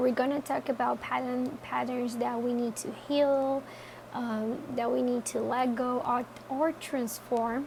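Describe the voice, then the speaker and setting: Against noticeable background noise, a woman with a non-native accent speaks at a high pitch and a fairly slow pace, her intonation monotone and flat. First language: not English. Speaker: tarot reader. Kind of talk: tarot reading talk to camera. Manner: casual, hesitant.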